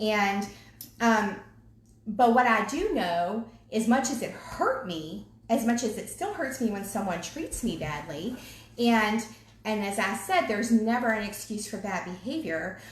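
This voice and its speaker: Speaking in a Southern accent with an animated tone, a woman talks at a fairly slow pace and a fairly high pitch, with noticeable background noise and audible room echo. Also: lively intonation. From US South, Virginia (Henrico County). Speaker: ministry co-leader. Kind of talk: casual chat.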